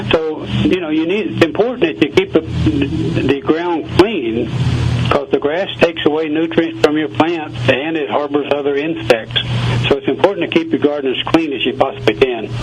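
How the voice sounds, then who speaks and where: Music plays behind a man with a Southern US accent. He speaks at a moderate pace in a fairly high voice. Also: ordinary pitch variation. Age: 70s. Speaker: gardener. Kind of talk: radio interview.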